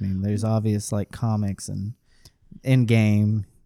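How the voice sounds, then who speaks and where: A man's dark, mellow voice, fairly low in pitch, at a moderate pace, in a very clean, silent recording with a dry, close sound and no echo. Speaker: podcast host. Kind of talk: casual chat. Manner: joking, bantering.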